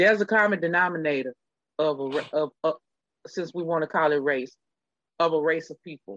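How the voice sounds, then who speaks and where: In an animated tone, a woman with a very deep, low pitch and ordinary pitch variation speaks at a fairly quick pace, with big swings in loudness and long, frequent pauses. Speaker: podcast co-host. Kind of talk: casual chat. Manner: proper diction when angry.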